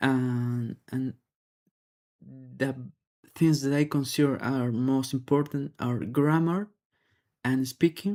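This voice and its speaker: A man's very slow speech in a Spanish accent, dark and mellow in tone, with ordinary pitch variation and long, frequent pauses. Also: medium pitch for a man. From Peru. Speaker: English learner. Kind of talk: practice test speaking response. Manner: halting.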